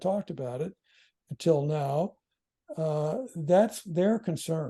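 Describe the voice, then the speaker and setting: The man's voice has a dark, mellow tone and a fairly high pitch against a quiet background. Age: 70s. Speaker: philosophy scholar. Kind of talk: podcast interview. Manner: halting.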